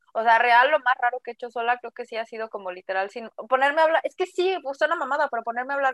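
The speech has lively intonation and a dry, close sound with no echo. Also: woman. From Mexico City. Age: 20s. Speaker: podcast co-host. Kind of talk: casual chat.

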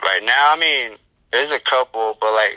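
The sound is dry and close with no echo. A man with an American accent speaks at a moderate pace. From Navajo Nation, US Southwest. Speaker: rapper. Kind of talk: interview. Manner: casual, halting with fillers.

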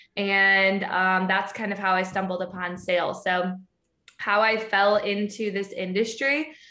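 A woman's bright, sharp voice at a very slow pace, with audible room echo. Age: 20s. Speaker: sales leader. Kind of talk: casual interview. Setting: remote call.

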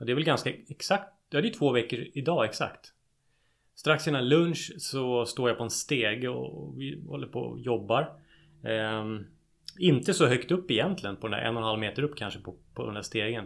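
Vocal fry runs through this man's medium-pitched voice. His intonation is lively. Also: moderate pace, very clean recording, silent background. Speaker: podcast co-host. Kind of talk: casual chat.

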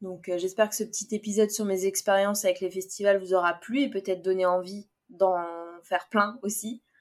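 Her intonation is monotone and flat. The woman speaks fairly quickly at a medium pitch. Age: 20s. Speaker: podcast host. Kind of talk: casual solo podcast monologue.

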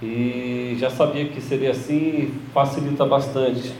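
Noticeable background noise and audible room echo surround a man speaking at a very slow pace. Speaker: religious teacher. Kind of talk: sermon-style teaching.

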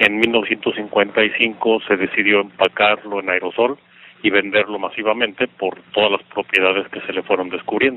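A man's fairly low voice, monotone and flat, at a fairly slow pace. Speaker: regional sales and marketing manager. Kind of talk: interview. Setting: phone call. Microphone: traditional telephone line audio.

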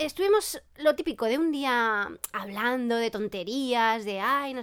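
A woman's high-pitched voice. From Catalonia, El Prat near Barcelona. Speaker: podcast co-host. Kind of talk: casual chat.

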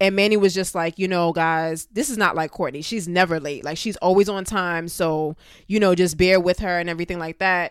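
On a very clean recording with a silent background, a woman speaks at medium pitch with a New York accent. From Brooklyn, New York. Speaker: dance teacher. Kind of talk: casual chat.

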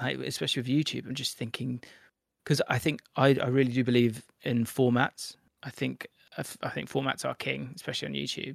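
Vocal fry colors this man's voice as he talks at a fairly quick pace with fairly even intonation. The sound is dry and close, with no echo. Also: medium pitch for a man. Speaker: football YouTuber and presenter. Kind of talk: casual interview. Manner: articulate, clear.

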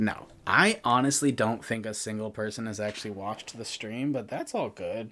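This is an ordinary speaking voice at a moderate pace. The recording is very clean and the background silent. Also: man. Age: 30s. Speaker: podcast host and artist. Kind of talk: casual chat. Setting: live stream.

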